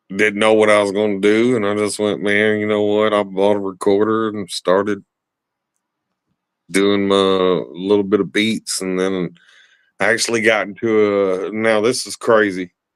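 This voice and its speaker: A man with a Southern US accent, fairly low pitch and monotone, flat intonation at a moderate pace, on a very clean recording with a silent background. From West Tennessee. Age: 40s. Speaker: rapper and drummer. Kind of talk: casual chat.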